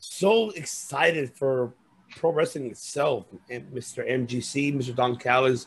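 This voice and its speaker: Very slowly, a man speaks in a medium pitch, somewhat breathy, with ordinary pitch variation. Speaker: wrestling podcast host. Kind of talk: casual chat. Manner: animated.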